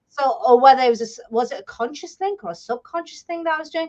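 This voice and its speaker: A woman speaks in a British accent. Her pitch swings very widely. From England. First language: Bengali. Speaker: publisher and author. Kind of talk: interview.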